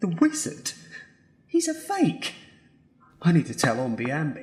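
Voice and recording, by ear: Putting on a character voice, a woman speaks fairly slowly at a low pitch, her tone slightly mellow with a husky, rough edge and her pitch swinging very widely.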